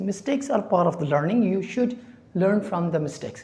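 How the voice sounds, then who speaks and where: Someone speaks at a fairly quick pace, with audible room echo in the recording. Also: woman. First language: not English. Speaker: English teacher. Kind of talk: tutorial. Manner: halting.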